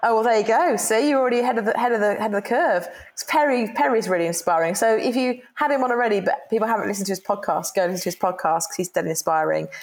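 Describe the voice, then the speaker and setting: Talking at a very fast pace with hardly any pauses, a woman with a British accent and a fairly high pitch uses lively intonation. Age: 50s. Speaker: employee engagement consultant. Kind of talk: interview.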